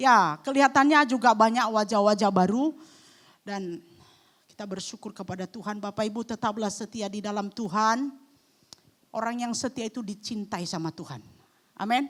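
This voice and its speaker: This woman's voice sits fairly high, with ordinary pitch variation and big swings in loudness. The recording is very clean, with a silent background. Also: moderate pace. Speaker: guest preacher. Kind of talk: sermon. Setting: church. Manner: animated.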